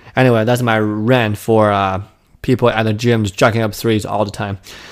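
A man's voice with fairly even intonation. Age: 20s. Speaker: podcast host. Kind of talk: solo monologue. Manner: hesitant, many fillers.

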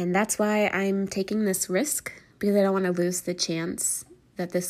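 The intonation is monotone and flat at a moderate pace. Loudness stays very even throughout. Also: woman. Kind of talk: solo monologue, partly scripted. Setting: home recording with rain and thunder outside. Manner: halting, with pauses and fillers.

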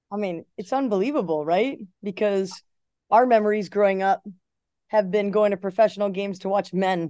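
A dark, mellow voice speaks at a fairly quick pace with ordinary pitch variation. The background is quiet. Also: woman, medium pitch for a woman. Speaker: head soccer coach. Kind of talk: interview.

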